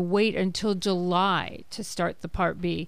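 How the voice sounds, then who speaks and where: A woman with an unremarkable speaking voice, medium in pitch, with fairly even intonation. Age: 60s. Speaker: Medicare advisor. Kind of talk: radio panel interview. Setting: radio studio.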